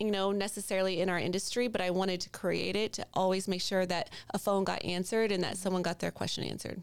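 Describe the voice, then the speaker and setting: A woman speaks at a very fast pace with hardly any pauses. Her intonation is monotone and flat. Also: medium pitch for a woman. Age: 40s. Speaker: mortgage broker. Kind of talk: casual chat.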